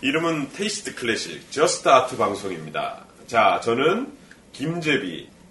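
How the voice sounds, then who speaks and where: Noticeable background noise runs beneath speech delivered at a fairly slow pace. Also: man. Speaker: voice professional, podcast host. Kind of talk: casual chat.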